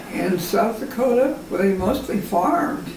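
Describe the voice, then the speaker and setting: A woman speaking at a moderate pace, with light background noise and audible room echo. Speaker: grandmother telling family history. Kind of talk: oral history interview answer. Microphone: camera far.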